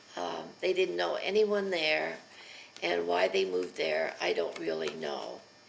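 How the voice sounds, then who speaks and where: A woman with an American accent talks at a fairly slow pace over noticeable background noise. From Pennsylvania. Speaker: elderly mother telling her life story. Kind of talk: oral history interview. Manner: hesitant, with many fillers.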